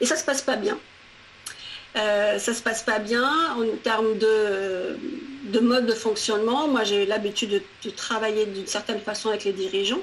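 Over noticeable background noise, a woman speaks at a fairly slow pace in a fairly high pitch with ordinary pitch variation. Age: 40s. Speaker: career coach. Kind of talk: interview.

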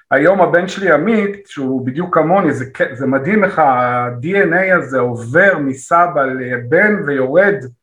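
A man with a fairly high pitch and lively intonation speaks at a fairly slow pace amid audible room echo. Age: 50s. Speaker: actor and comedy teacher. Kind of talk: interview. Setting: video call.

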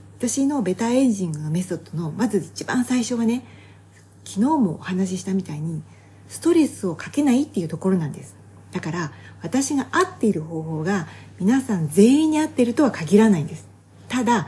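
A woman's somewhat breathy, dark, mellow voice at a fairly quick pace with very wide pitch swings. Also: medium pitch for a woman, big swings in loudness. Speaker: health and beauty advisor, fitness competitor. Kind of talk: solo podcast talk. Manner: fast; casual conversational.

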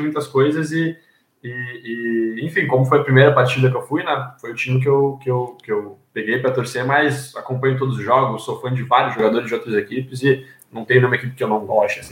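Somewhat breathy, a man talks at a medium pitch and a fairly quick pace with ordinary pitch variation. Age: 20s. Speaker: journalism student, new podcast panelist. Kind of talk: casual chat.

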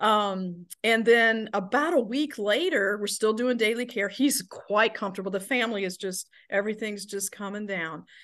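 With an Alabama accent and a fairly high pitch, a woman talks at a moderate pace with ordinary pitch variation and hardly any pauses against a quiet background. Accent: Southern US (Alabama). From Alabama, US South. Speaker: nurse and healthcare director. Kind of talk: interview conversation.

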